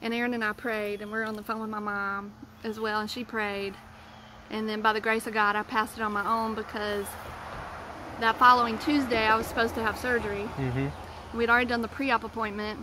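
Dry with no echo, a woman's very fast speech keeps fairly even intonation over noticeable background noise. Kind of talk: casual vlog chat. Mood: earnest, vulnerable storytelling. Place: garden. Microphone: phone near.

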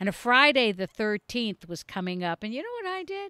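A woman speaks with a bright, sharp tone. The sound is dry with no echo against a quiet background. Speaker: storyteller. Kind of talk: casual storytelling vlog. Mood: playful, animated. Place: garden. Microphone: studio mic.

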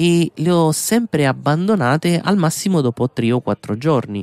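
A man's voice ranges very widely in pitch on a very clean recording with a silent background. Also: dry, close sound with no echo. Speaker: podcast host. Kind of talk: scripted narration.

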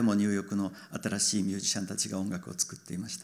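Against a quiet background, a man speaks at a very fast pace. His pitch is fairly low. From Japan. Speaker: film director; guest. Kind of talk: Q&A with interpreter. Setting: stage with audience. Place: stage. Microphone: handheld.

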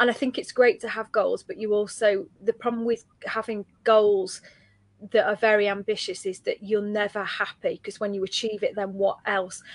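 A woman's unremarkable speaking voice, fairly high in pitch, with fairly even intonation at a moderate pace and a dry sound with no echo. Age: 30s. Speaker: livestream host and coach; livestream host, coach. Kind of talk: casual chat. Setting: livestream. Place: home room. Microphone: webcam.

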